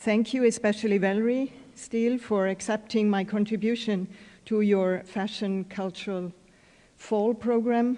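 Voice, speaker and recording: Woman's fairly high voice with a dark, mellow tone and a German accent, monotone and flat, at a moderate pace. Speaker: fashion historian and curator. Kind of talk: lecture. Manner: reading from a prepared text.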